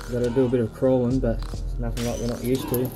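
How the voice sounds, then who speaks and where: A man at a fairly quick pace, monotone and flat, over clear music in the background. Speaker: explorer vlogger. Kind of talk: casual vlog chat. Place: tunnel cave. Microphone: phone near.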